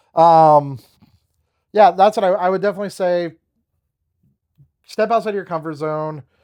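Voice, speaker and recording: Long, frequent pauses break up a man's high-pitched speech, delivered at a moderate pace with ordinary pitch variation. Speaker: snake breeder and car salesman. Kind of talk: casual advice talk to camera. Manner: heavy breathing.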